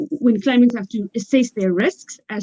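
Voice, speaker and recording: A woman with a South African accent, her dark, mellow tone dry and close with no echo. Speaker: legal expert panelist. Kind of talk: panel discussion. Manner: hesitant, many fillers.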